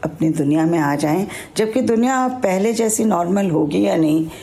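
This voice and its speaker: A woman speaks at a medium pitch with ordinary pitch variation. There is audible room echo. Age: 60s. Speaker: retired broadcaster and Instagrammer. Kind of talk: personal account.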